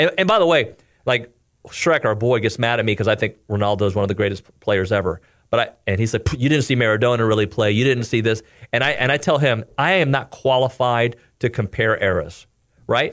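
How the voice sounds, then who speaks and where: Speaking at a fairly quick pace, a man in a normal speaking voice keeps a medium pitch and ordinary pitch variation. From Cuban-American family, US. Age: 40s. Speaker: TV sports anchor and former radio host. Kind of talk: casual chat.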